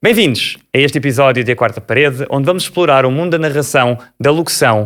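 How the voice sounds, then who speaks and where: A man speaks at a fairly quick pace in a fairly high voice, with ordinary pitch variation and an unremarkable speaking voice. The recording is very clean, with a silent background. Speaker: podcast host. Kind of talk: podcast hosting.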